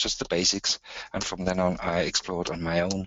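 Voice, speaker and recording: In a German accent, a man talks at a fairly slow pace with a very deep, low pitch and monotone, flat intonation. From southern Germany. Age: 60s. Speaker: musician and patient speaker. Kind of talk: webinar talk. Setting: online webinar. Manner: halting.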